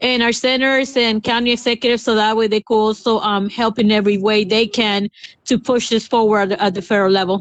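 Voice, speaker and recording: A woman's fairly high voice, very fast, with fairly even intonation. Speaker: city council member. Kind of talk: council meeting discussion. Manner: halting, many fillers.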